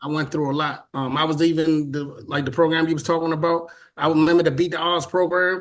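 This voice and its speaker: Talking very fast in an American accent, a man with a fairly high pitch keeps a flat, monotone delivery against a quiet background. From Washington, D.C. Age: 40s. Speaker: conga player. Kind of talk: interview. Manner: halting.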